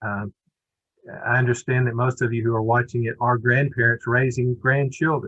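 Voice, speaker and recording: Speaking in an Alabama accent, a man talks at a medium pitch. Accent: US Southern (Alabama). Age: 60s. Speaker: children's center director. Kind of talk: webinar presentation.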